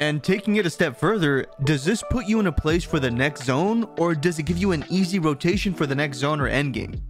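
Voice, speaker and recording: Over music in the background, a man talks at a fairly quick pace with lively intonation and a fairly high pitch. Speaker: gaming content creator. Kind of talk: gaming tutorial narration.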